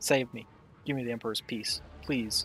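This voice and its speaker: A gruff, put-on character voice at a moderate pace, with ordinary pitch variation and clear background noise. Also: man. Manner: pleading, tormented.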